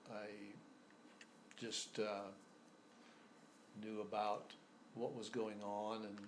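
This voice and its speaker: In an American accent, a man speaks at a very slow pace and a fairly low pitch, his monotone, flat delivery broken by long, frequent pauses amid audible room echo. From US Midwest and New Mexico. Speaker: oral history interviewee. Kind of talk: interview. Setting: in-person interview. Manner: halting, many fillers.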